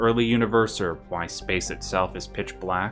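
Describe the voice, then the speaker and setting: With music in the background, a man talks at a moderate pace in a fairly low pitch. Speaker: guest narrator presenting a written script. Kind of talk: lore narration of a fictional universe history. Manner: calm, soft ASMR-like delivery.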